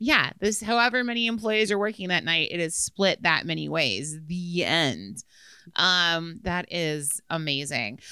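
In a very clean recording with a silent background, a woman with a fairly low pitch and a bright, sharp tone speaks at a fairly slow pace with lively intonation. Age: 40s. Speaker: podcast co-host. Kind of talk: casual chat.

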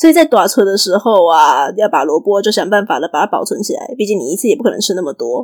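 A woman talks at a very fast pace with very wide pitch swings. The recording is very clean, with a silent background. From Taiwan. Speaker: podcast host. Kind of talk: solo podcast talk about food and books. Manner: casual, chatty.

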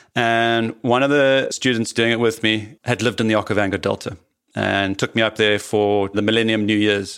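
With a South African accent, a man talks in a monotone, flat intonation at a moderate pace and fairly low pitch, his loudness very even. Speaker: biologist and expedition leader. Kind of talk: interview.

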